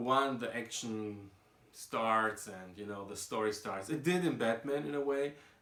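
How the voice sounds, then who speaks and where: In a non-native accent, a man delivers his words fairly slowly. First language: not English. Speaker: comic book reviewer. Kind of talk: casual talk to camera.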